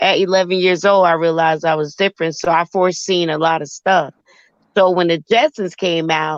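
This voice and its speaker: An unremarkable speaking voice from a woman, fairly low in pitch, with fairly even intonation, very even loudness and a fairly quick pace. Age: 50s. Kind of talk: casual chat.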